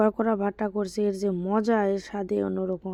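In a medium pitch, a woman speaks with a dark, mellow tone and monotone, flat intonation. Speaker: vlogger. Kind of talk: casual travel vlog narration. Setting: outdoors, travelling by van, train and auto-rickshaw.

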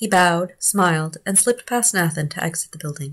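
A woman speaks with a somewhat breathy, fairly low voice and lively intonation at a fairly quick pace. The background is quiet. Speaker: audiobook narrator. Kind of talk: audiobook reading of a novella. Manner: even, measured narration with shifts into character dialogue. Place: home room. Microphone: phone near.

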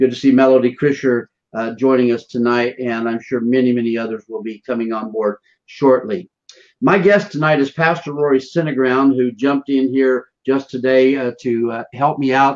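The man's pace is moderate and his pitch varies in an ordinary way, with a quiet background behind him. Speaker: show host, minister. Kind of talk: broadcast show introduction. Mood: warm, enthusiastic. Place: office. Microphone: earbuds.

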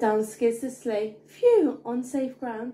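A woman's high, sing-song voice with a dark, mellow tone. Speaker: bedtime story narrator. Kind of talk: bedtime story reading aloud of a rhyming children's book. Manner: animated, playful storyteller with comic emphasis and sound effects; rhythmic, sing-song rhyming cadence. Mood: gentle, expressive storytelling. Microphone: phone near.

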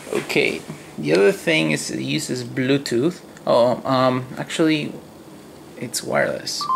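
Over noticeable background noise, a man with a strong non-native accent speaks at a fairly slow pace, leaving long, frequent pauses. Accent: thick non-native. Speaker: hobbyist robot builder. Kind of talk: casual voice-command demo. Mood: playful, mildly frustrated. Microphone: phone near.

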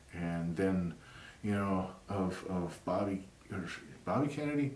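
In a Southern US accent, a man talks fairly slowly at a fairly low pitch, and audible room echo surrounds his voice. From US South. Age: 50s. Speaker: YouTuber. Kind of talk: monologue. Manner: halting. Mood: earnest, opinionated. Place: home room.

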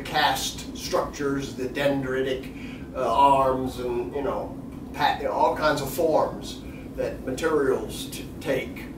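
Noticeable noise fills the background. Through it comes a man's voice. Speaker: poet, guest. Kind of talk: interview answer. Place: stage.

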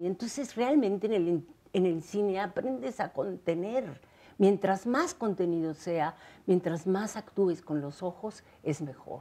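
Her tone is dark and mellow. This woman talks fairly slowly, with lively intonation. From Mexico. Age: 70s. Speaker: actress. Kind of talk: interview. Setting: at her home. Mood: warm, thoughtful, sometimes laughing. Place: home room.

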